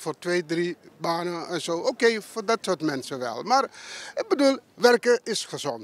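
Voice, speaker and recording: A man's high voice with very wide pitch swings, at a fairly slow pace, in a dry, close sound with no echo. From Suriname. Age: 70s. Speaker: retiree interviewed at a market. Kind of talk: street interview. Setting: outdoors at a market.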